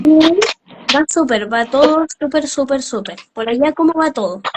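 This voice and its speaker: Speaking fairly slowly, a woman uses lively intonation at a high pitch. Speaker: interview host. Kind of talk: live interview host talk.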